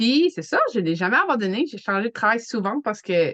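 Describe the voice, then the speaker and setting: A woman's medium-pitched voice with an Acadian accent and lively intonation, in a dry, close sound with no echo. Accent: Acadian French, noticeable. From New Brunswick, Canada. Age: 40s. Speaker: network marketer, hockey mom. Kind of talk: casual chat.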